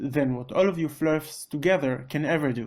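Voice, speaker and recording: With an Israeli accent, a man speaks at a moderate pace and fairly high pitch with ordinary pitch variation on a very clean recording with a silent background. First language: Hebrew. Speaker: debunking video creator. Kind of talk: rebuttal commentary.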